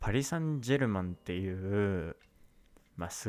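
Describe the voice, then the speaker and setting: In a very clean recording with a silent background, a man with a plain, everyday voice speaks at a moderate pace, his fairly low pitch carried by lively intonation. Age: 20s. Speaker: podcast host, university student. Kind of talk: casual solo monologue. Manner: casual, many filler words.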